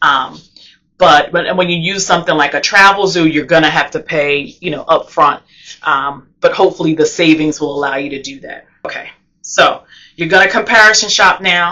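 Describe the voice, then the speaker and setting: A woman with an American accent and a fairly low pitch speaks with ordinary pitch variation and big swings in loudness. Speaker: travel vlogger. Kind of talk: tutorial. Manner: fast.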